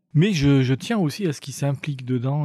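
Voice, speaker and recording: On a very clean recording with a silent background, a man with a medium-pitched, somewhat breathy voice and a dark, mellow tone speaks at a moderate pace. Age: 50s. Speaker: youth employment counselor working in prisons. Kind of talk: interview.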